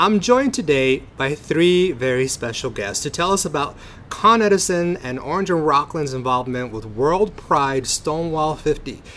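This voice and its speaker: A man talks at a moderate pace with an unremarkable speaking voice. His pitch is fairly high and his intonation lively. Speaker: podcast host. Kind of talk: interview, scripted intro. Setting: outdoors at a park.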